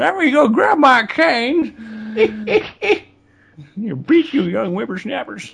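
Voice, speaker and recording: A put-on character voice, pitched fairly high, moves at a fairly slow pace. It leaves long pauses, and often. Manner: grumpy, teasing.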